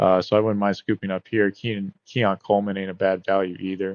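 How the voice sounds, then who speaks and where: This man speaks at a very fast pace. His pitch is fairly low. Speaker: fantasy football YouTuber. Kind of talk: casual tutorial with live mock draft. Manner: casual, filler-heavy.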